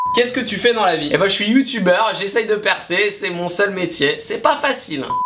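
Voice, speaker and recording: Through noticeable background noise, a man uses a raised, projected voice that sits high in pitch, speaking at a moderate pace. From France, Nantes. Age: 20s. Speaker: YouTuber on sports betting. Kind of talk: casual Q&A vlog.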